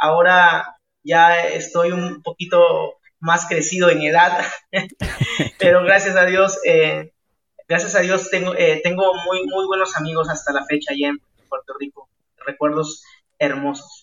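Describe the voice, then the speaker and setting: A man with a high pitch talks at a fairly slow pace in a monotone, flat intonation, with long, frequent pauses. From Peru, La Libertad (Chicama, Trujillo). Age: 20s. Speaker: evangelist and singer-songwriter. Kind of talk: interview.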